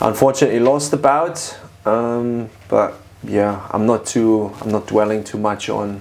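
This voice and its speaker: Over noticeable background noise, a man speaks fairly slowly at a medium pitch with ordinary pitch variation. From Germany (Berlin). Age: 30s. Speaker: podcast host, martial artist. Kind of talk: casual interview chat.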